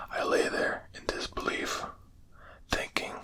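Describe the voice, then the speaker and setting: A man whispering over noticeable background noise. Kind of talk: sleep story. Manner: whispered.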